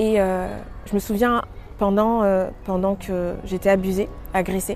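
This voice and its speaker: A woman speaks at a moderate pace and medium pitch, with music playing in the background. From Paris, France. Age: 30s. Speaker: testimony speaker. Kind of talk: testimony. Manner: halting, many filler words.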